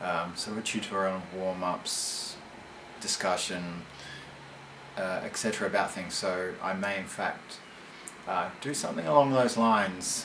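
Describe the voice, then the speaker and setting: A man's very deep, low voice with long, frequent pauses, audible room echo and noticeable background noise. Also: ordinary pitch variation, moderate pace. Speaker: metal band vocalist answering fan questions. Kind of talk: monologue answering fan questions. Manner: halting, many fillers.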